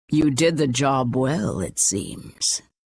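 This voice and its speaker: A man speaks in a put-on character voice. It sounds raspy at a medium pitch. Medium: video game. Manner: kindly, knowing.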